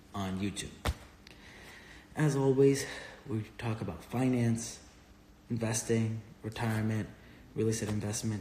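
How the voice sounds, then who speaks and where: Amid audible room echo and noticeable background noise, a man speaks with fairly even intonation and long, frequent pauses. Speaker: real estate investor and finance educator. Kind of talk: live stream Q&A. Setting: Instagram live stream. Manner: casual, filler-heavy.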